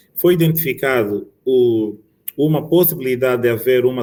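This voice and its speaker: The man's voice sits at a medium pitch. Its melody changes little, staying fairly even. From Angola. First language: Angolan Bantu language (mother tongue) (speaking Portuguese). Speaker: occupational medicine physician. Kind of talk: conference talk. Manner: halting, frequent repetitions.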